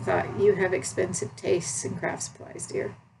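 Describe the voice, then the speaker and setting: A woman with an American accent at a moderate pace, noticeable background noise behind her. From United States. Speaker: needlework video blogger. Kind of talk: casual chat. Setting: at home. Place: home room. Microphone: webcam.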